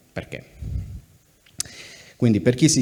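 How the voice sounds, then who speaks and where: A man's dark, mellow tone. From Sardinia, Cagliari. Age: 30s. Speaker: journalist, news site editor. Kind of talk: public talk at festival. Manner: hesitant, repeats words.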